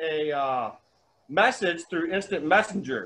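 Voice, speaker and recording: A loud man's voice, bright and sharp in tone, with lively intonation. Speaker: sign carver, first responder. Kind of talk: casual chat. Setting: video call.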